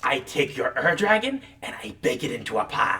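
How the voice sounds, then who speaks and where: This is a put-on character voice with a theatrical tone. It sits at a middle pitch and moves at a moderate pace. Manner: cackling, theatrical.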